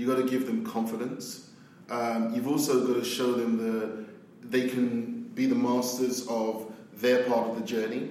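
Over noticeable background noise, a man speaks at a fairly slow pace with a medium pitch and monotone, flat intonation. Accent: London. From South London, England. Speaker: agency CEO. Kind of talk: casual interview chat.

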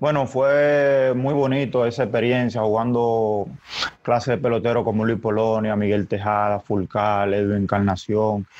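A man talks at a fairly slow pace, his pitch medium and his intonation fairly even. Noticeable noise sits in the background. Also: very even loudness. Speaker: baseball player. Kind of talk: press conference.

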